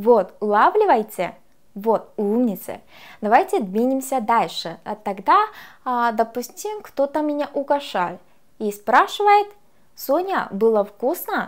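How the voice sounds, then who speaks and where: A woman's high-pitched voice with a Korean accent, very wide pitch swings, a very slow pace and long, frequent pauses, over a quiet background. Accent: Korean accent in Russian. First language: Korean (speaking Russian). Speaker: language teacher. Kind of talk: lecture. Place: studio. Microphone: lapel.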